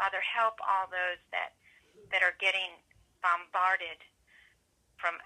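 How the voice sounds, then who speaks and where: Speaking at a fairly slow pace, a woman keeps her intonation monotone and flat. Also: quiet background. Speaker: prayer call participant. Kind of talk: prayer. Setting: phone prayer line. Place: office. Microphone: webcam.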